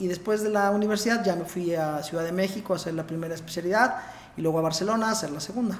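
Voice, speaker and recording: High-pitched male speech at a very fast pace with ordinary pitch variation, plus noticeable background noise and audible room echo. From Puebla, Mexico. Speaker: interventional cardiologist. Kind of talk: casual interview.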